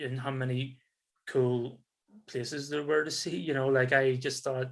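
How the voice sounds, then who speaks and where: A man with a Northern Irish accent talks at a fairly slow pace, his pitch fairly high. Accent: soft Northern Irish. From Northern Ireland, Belfast. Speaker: tourism business development specialist, expat. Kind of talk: interview conversation. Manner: hesitant, repeating words.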